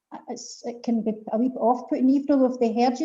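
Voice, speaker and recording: Talking very fast with a west of Scotland accent, a woman has a high pitch and a dark, mellow tone. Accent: Scottish (west of Scotland). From Scotland, Paisley. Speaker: poetry event host. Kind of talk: casual chat. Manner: animated.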